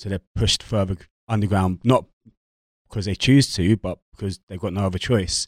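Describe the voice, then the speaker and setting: In a dry, close recording with no echo, a man uses an ordinary speaking voice at a moderate pace, fairly low in pitch with fairly even intonation. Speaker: guest. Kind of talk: casual group chat. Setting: studio.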